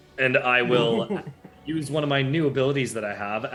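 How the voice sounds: A man speaks at a fairly quick pace in a medium pitch, with music playing in the background.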